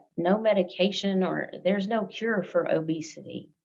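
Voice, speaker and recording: A woman with a Southern US accent, fairly even intonation and a fairly slow pace. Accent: Southern drawl. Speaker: interview guest, healthcare worker. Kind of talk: interview.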